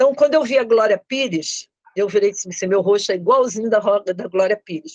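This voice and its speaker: Here a woman talks at a fairly high pitch with ordinary variation. The sound is dry and close, with no echo. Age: 60s. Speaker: student of online facial exercise course. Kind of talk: testimony interview. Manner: halting, many repetitions.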